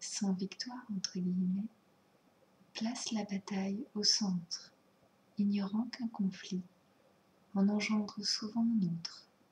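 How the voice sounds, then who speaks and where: Soft-spoken delivery at a very slow pace, broken by long, frequent pauses. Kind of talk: ASMR soft-spoken show and tell.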